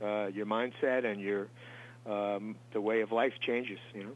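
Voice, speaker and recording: At a moderate pace, a man with an American accent talks in monotone, flat intonation. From Long Island, New York. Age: 60s. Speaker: musician. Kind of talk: interview. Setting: studio.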